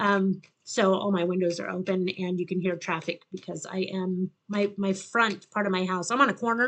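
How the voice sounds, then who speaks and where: A woman speaks at medium pitch and a moderate pace. Her intonation stays fairly even, with hardly any pauses. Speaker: tarot reader. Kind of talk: tarot reading. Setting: home with windows open. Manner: loud.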